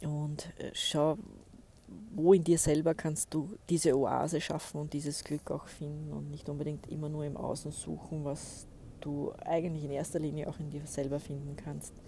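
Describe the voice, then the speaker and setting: At a moderate pace, a woman speaks in a very deep, low pitch with a dark, mellow, somewhat breathy tone, flat monotone intonation and big swings in loudness. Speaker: podcast host and spiritual coach. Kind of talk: solo podcast monologue. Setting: outdoors by a lake.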